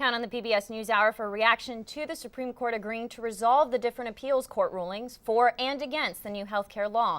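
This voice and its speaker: In a very clean recording with a silent background, a woman with an ordinary speaking voice talks at a fairly quick pace with hardly any pauses, big swings in loudness, a fairly high pitch and ordinary pitch variation. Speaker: news anchor and reporter. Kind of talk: studio news anchor read.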